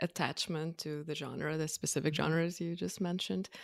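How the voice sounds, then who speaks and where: Someone speaks at a moderate pace with a Russian accent on a very clean recording with a silent background. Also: woman. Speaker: filmmaker and podcast co-host. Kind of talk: casual chat.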